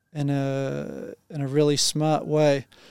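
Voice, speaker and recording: A man with a New Zealand accent speaks in a dark, mellow tone at a fairly high pitch, with flat, monotone intonation. The sound is dry and close with no echo, on a very clean recording with a silent background. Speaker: engineering team leader. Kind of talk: podcast interview.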